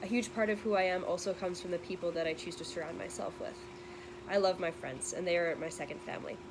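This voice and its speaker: Over noticeable background noise, a woman with a fairly low pitch speaks at a very fast pace with fairly even intonation. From western Canada, Metro Vancouver. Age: 20s. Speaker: university student. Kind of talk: scripted narration.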